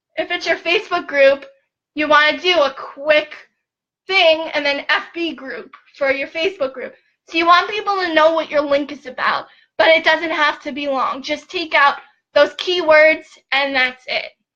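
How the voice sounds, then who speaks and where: A woman with an extremely high voice projects it loudly at a moderate pace, with a bright, sharp tone and ordinary pitch variation. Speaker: online business coach. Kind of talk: live stream tutorial. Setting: at home, Facebook live video. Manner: animated.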